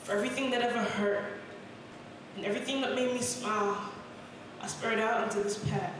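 A woman's very fast, monotone, flat delivery, with strong room echo and noticeable background noise. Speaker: spoken word poet. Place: cafe.

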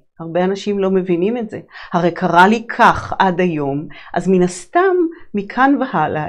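With a quiet background, a woman speaks in a calm tone at a moderate pace. Her pitch varies in an ordinary way. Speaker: holistic psychologist and sound healer hosting a show. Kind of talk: reflective monologue on personal growth. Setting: live broadcast. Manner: calm, flowing, spiritual. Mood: calm, reflective, warm. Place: studio.

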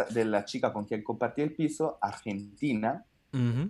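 Speaking in an Italian accent, a man with a dark, mellow tone takes a fairly slow pace. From Italy. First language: Italian (speaking Spanish). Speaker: stand-up comedian. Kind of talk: casual chat. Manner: halting. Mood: cheerful, animated. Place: home room. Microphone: video call.

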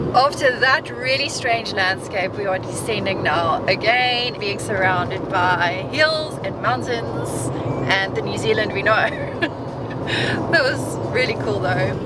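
Speech comes at a fairly slow pace over loud background noise, with a dry sound and no echo. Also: woman. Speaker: travel vlogger. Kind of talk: casual vlog chat. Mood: cheerful, amazed. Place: car. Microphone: phone near.

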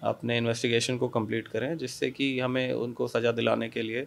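A man talks at a fairly slow pace with a medium pitch and monotone, flat intonation. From India, Kanpur, Uttar Pradesh; Uttar Pradesh, India. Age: 20s. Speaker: police officer. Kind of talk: interview. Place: office. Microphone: handheld.

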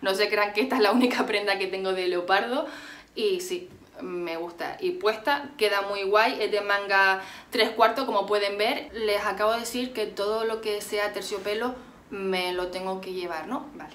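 This woman speaks at a moderate pace with a medium pitch. Her pitch varies in an ordinary way. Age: 20s. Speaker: beauty and fashion youtuber; fashion youtuber. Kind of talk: haul video monologue. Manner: animated. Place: home room. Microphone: phone near.

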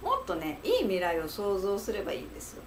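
This is a woman speaking. Light background noise can be heard. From Japan, Fukuoka; Japan. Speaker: psychological counselor. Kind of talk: solo talk to camera, advice monologue. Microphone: webcam.

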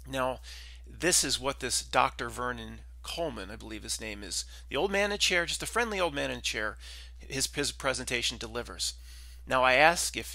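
At a moderate pace, a man speaks in a dry recording with no echo and a quiet background. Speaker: channel host. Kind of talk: commentary. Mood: serious, concerned. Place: home room. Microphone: headset.

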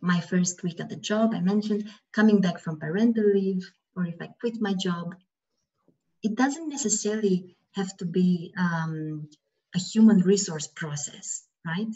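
Against a quiet background, a woman speaks somewhat breathily at a fairly slow pace, with big swings in loudness and ordinary pitch variation. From Romania. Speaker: HR consultant; webinar presenter. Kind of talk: webinar presentation. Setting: video call. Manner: soft-spoken. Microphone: video call.

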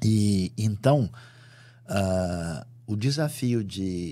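Intonation here is lively. The tone comes across dark and mellow. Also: man. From Brazil. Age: 60s. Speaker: Bible scholar and preacher; preacher. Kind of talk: interview. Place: studio. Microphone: studio mic.

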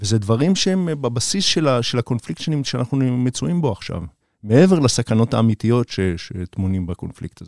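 A man speaks at a fairly quick pace in a medium pitch, with very wide pitch swings. The recording is very clean with a silent background, dry and close with no echo. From Israel, Beersheba. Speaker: documentary director. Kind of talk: interview. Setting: studio.

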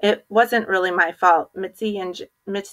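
A natural voice reads aloud, its intonation fairly even. Nothing much stirs in the quiet background.

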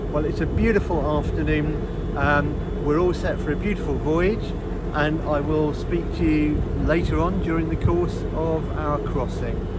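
Recorded with a dry sound and no echo under loud background noise, a man speaks at a fairly slow pace. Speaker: travel vlogger. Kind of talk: casual vlog chat. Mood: cheerful, relaxed. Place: boat. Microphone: phone near.

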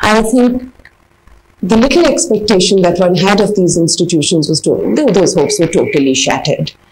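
A woman at a moderate pace with light background noise. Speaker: interviewee. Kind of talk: interview answer. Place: home room.

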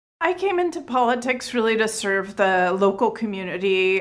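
This is a woman speaking with a Californian accent. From California, San Francisco Bay Area. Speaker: state legislator, former teacher. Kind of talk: interview answers.

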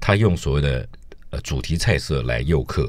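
Vocal fry marks this man's voice, with lively intonation at a moderate pace. The sound is dry with no echo, over a quiet background. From Taiwan. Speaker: food critic; radio guest. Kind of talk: casual chat. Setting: studio. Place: studio.

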